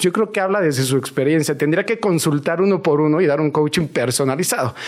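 With noticeable background noise, a man speaks very fast with ordinary pitch variation. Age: 40s. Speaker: fitness trainer. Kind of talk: casual interview.

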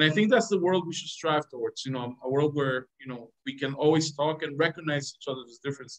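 A man speaks with a fairly high pitch and ordinary pitch variation. His pace is fairly quick, with hardly any pauses. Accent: Spanish. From Venezuela. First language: Spanish. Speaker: government diplomat. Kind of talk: interview. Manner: halting, many repetitions and fillers.

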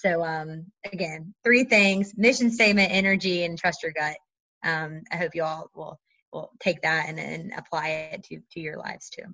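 Speaking at a moderate pace, a woman has an unremarkable speaking voice, fairly low in pitch, with ordinary pitch variation. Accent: American. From North Carolina. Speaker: MBA student. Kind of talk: interview.

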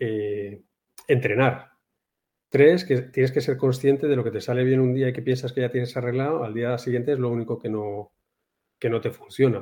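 At a moderate pace, the speaker talks in a dark, mellow tone. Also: man. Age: 50s. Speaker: amateur golfer. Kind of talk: casual chat.

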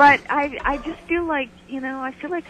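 The speaker has an American accent and a moderate pace. Background noise is noticeable. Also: woman. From Michigan, Detroit area. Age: 50s. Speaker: fitness presenter and author. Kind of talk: casual chat. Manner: animated.

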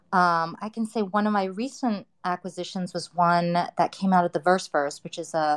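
A woman with an American accent speaks at a moderate pace with ordinary pitch variation, in a normal speaking voice. The sound is dry and close with no echo, over a quiet background. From US West Coast, Los Angeles. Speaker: AI artist. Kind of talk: casual chat. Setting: online audio room.

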